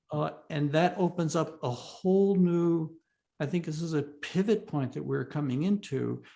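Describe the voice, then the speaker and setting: Dark, mellow tone from a man with fairly high pitch, ordinary pitch variation and a moderate pace. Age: 70s. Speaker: retired philosophy and religion professor, author. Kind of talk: interview conversation.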